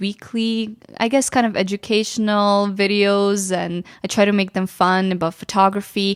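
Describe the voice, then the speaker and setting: Recorded very cleanly against a silent background, a woman speaks fairly slowly at medium pitch with fairly even intonation. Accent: Ukrainian. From western Ukraine. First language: Ukrainian. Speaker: photographer and YouTuber. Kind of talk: casual chat. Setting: studio.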